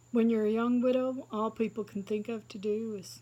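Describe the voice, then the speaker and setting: Somewhat breathy and dark, mellow in tone, a woman speaks at medium pitch. She keeps a moderate pace. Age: 60s. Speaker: stand-up comedian. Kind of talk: stand-up. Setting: seated, live audience.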